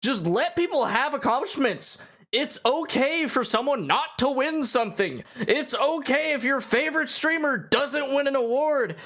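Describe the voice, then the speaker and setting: The speech moves at a moderate pace with hardly any pauses against noticeable background noise. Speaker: reaction YouTuber. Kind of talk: reaction commentary. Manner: animated.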